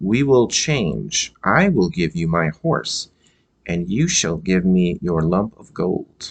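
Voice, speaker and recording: A man puts on a character voice at a very deep, low pitch. He delivers it at a fairly slow pace. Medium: read story.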